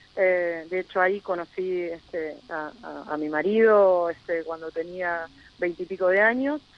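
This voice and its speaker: A woman with a plain, everyday voice and a fairly low pitch speaks at a fairly slow pace with ordinary pitch variation. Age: 40s. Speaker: local politician. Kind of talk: radio interview.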